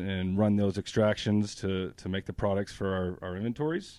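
With an American accent, a man talks at a moderate pace with fairly even intonation and hardly any pauses. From New Hampshire, US. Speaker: extraction lab manager. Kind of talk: interview.

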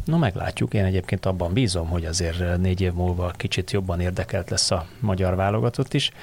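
A man's very deep, low, somewhat breathy voice, with ordinary pitch variation, very even loudness, a fairly quick pace and hardly any pauses, on a very clean recording with a silent background. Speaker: podcast host. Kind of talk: casual football discussion. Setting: studio.

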